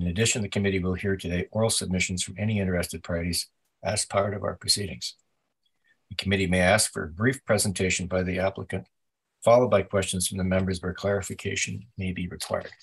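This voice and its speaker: A man talks at a very fast pace in a very deep, low voice that is somewhat breathy, with fairly even intonation. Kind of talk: formal procedural reading. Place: home room. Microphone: video call.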